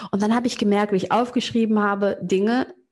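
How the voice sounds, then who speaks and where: A woman speaks in a somewhat breathy voice. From Germany, Cologne (Köln-Kalk). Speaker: business coach. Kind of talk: interview.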